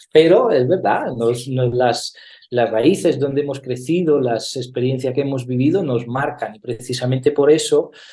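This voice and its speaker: Somewhat breathy, with a dark, mellow tone, a man talks at a medium pitch and a moderate pace, his pitch varying in an ordinary way. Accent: slight Italian. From Italy. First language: Italian (speaking Spanish). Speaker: actor and theatre director. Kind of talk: interview. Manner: hesitant, many fillers.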